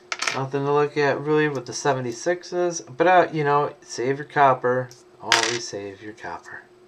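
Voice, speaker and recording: A man with a fairly high pitch amid noticeable background noise. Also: ordinary pitch variation, moderate pace. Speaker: coin collector streamer. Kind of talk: live stream commentary. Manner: mumbling at times; casual, relaxed.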